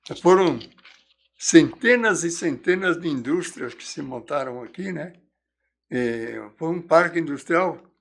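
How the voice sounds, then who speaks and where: Long, frequent pauses break up a man's very slow delivery. His high voice carries lively intonation. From São Paulo, Brazil. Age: 90s. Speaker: historian and writer. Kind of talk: interview, recounting local history. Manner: halting, with repetitions.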